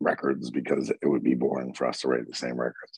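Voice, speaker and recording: With an American accent and vocal fry, a man talks at a fairly quick pace in a dry, close sound with no echo. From Southern Maryland, US. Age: 40s. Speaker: metal vocalist. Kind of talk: casual interview chat.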